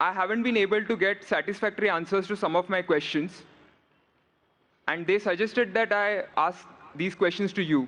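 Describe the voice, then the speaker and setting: Bright and sharp in tone, a man speaks at a high pitch with fairly even intonation and very even loudness. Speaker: audience questioner, student. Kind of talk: audience question.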